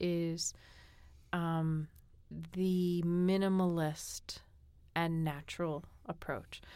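This woman has a fairly low pitch, an American accent, fairly even intonation and a normal speaking voice. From New England, Boston. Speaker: guest co-host. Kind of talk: casual chat. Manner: relaxed, sleepy-paced.

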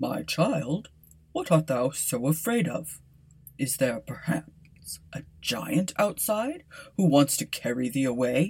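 A woman puts on a character voice, very deep and low, delivered at a fairly slow pace. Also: lively intonation. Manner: commanding, stern.

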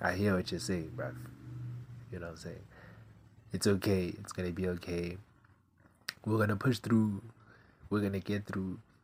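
A man's very deep, low voice at a moderate pace, with long, frequent pauses, ordinary pitch variation and big swings in loudness. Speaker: podcast host. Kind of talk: casual solo monologue. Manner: casual, rambling.

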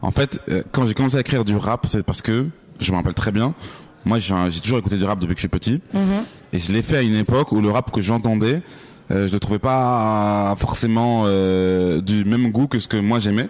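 This man has a normal speaking voice, fairly low in pitch, with very even loudness, ordinary pitch variation and a moderate pace. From France. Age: 30s. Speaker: rapper. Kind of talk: casual interview. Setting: backstage at a release party.

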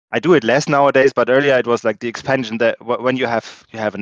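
A man with a German accent talks at a fairly quick pace, the sound dry and close with no echo against a quiet background. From Germany. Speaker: board game tournament champion. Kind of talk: casual interview.

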